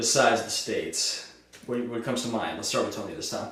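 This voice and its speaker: Talking at a fairly quick pace, a man with an American accent is heard with audible room echo and noticeable background noise. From US Midwest, Cleveland Ohio. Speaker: music show interviewer. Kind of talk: casual chat.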